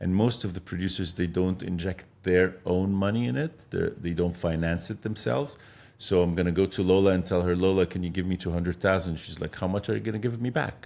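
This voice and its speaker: The speaker has an Arabic accent and a dark, mellow tone, talking at a fairly quick pace with hardly any pauses. The recording is very clean, with a silent background. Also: man, very deep, low pitch for a man, ordinary pitch variation. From Egypt. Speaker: film director and producer. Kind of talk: podcast interview.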